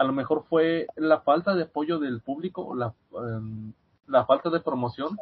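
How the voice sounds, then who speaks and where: The speaker has an ordinary speaking voice. Pitch variation is ordinary. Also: man. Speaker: student and podcast guest. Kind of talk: casual chat. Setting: video call.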